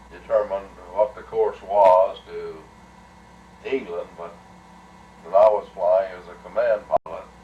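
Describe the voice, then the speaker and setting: Over noticeable background noise, a man speaks at a fairly slow pace with long, frequent pauses and big swings in loudness. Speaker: retired air force colonel, WWII bomber pilot. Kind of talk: personal war reminiscence.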